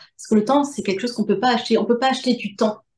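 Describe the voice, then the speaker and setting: Very fast speech from a woman with a fairly high pitch and ordinary pitch variation. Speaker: medium and author. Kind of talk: interview answer.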